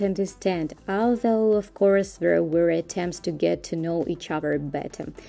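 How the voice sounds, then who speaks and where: In a Russian accent, a woman speaks with a dark, mellow tone. Her pace is moderate. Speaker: vlogger. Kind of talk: scripted narration.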